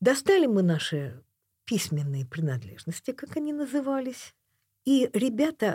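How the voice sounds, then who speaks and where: A somewhat breathy woman speaks at a very slow pace with very wide pitch swings, in a very clean recording with a silent background and a dry, close sound with no echo. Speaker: painter and author. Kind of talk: casual interview conversation. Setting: radio studio.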